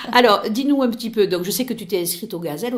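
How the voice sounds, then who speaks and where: Noticeable background noise behind a woman's lively intonation. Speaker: radio host. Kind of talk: radio interview. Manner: hesitant.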